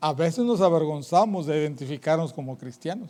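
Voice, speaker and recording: A man with a high pitch and a dark, mellow tone uses ordinary pitch variation. The recording is very clean with a silent background. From northern Mexico. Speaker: evangelist preacher. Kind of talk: sermon. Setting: church. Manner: animated.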